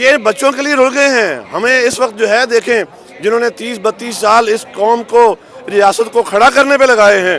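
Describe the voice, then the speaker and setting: Over crowd noise in the background, a man speaks at a moderate pace in an extremely high pitch with ordinary pitch variation. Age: 60s. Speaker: government employee protester. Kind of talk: interview.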